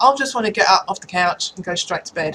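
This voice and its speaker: A woman with an English accent, very fast and full of lively intonation. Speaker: vlogger. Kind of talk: casual chat. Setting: at home in front of a computer.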